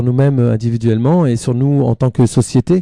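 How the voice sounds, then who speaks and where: A man with a dark, mellow tone speaks at a moderate pace, the sound dry and close with no echo against a quiet background. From northern France, near Belgian border. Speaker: singer-songwriter and author. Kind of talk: radio interview. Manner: hesitant, many fillers.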